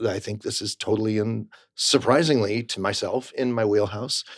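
A man talks with an American accent. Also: very clean recording, silent background. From Rochester, New York, US. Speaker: Broadway actor. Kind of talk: interview. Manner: upbeat.

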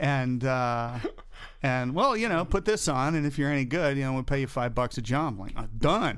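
With an American accent and a normal speaking voice, a man talks at a moderate pace and ordinary pitch variation. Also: medium pitch for a man. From US Southeast, North and South Carolina, then Florida. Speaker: camera first assistant. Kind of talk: casual chat.

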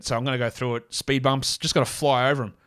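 A man's raspy, put-on character voice in an Australian accent, medium in pitch, flat and monotone, at a very fast pace.

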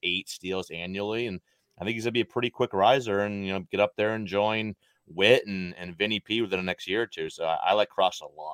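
A plain, everyday voice, a man speaks at a fairly quick pace and fairly low pitch with fairly even intonation, the sound dry and close with no echo on a very clean recording with a silent background. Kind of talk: auction banter, talking up a player during bidding.

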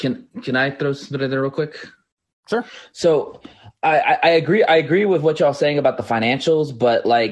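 Here is a man with an ordinary speaking voice and a fairly high pitch. His intonation is lively and his pace moderate. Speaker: caller, football fan. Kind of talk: call-in question. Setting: phone-in via app.

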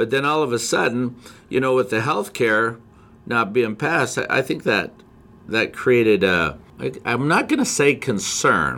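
The voice has a bright, sharp tone with vocal fry and lively intonation, moving at a fairly slow pace with an American accent. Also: man, medium pitch for a man. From Montana, US. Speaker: forex trading educator. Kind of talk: casual chat.

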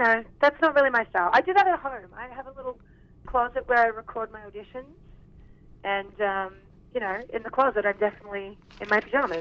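Someone with an Australian accent talks fast in a husky, fairly bright voice with ordinary pitch variation. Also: woman, fairly high pitch for a woman.

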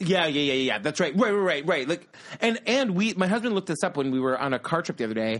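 Very wide pitch swings at a very fast pace. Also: man, high pitch for a man. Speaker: podcast host. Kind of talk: casual chat.

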